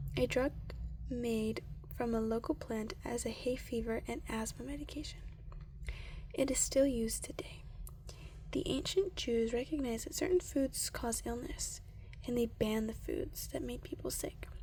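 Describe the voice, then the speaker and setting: A soft-spoken, calm tone at a moderate pace, with long, frequent pauses. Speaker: ASMR creator. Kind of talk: ASMR reading of a science book. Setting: close-mic with page flipping.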